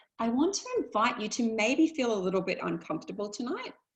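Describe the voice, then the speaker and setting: Somewhat breathy, a woman speaks with lively intonation at a fairly high pitch. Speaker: life coach. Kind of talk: webinar talk. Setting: online webinar. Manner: fast.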